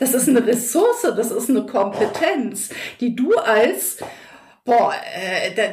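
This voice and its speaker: The woman talks rather slowly. Her voice is high and her intonation lively. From North Rhine-Westphalia, Germany. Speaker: educational trainer and coach. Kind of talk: casual interview chat. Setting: in person, same room.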